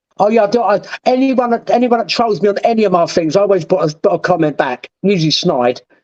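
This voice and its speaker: Very fast, lively speech with a southeast English accent and very even loudness. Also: man, high pitch for a man. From southeast England. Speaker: former prisoner. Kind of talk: interview.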